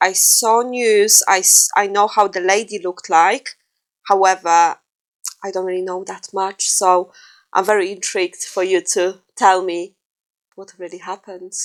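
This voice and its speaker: Moderately paced, monotone speech with a Polish accent and big swings in loudness, in a dry, close sound with no echo. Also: woman, medium pitch for a woman. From Poland. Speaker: true crime podcast co-host. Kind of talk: casual chat. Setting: living room.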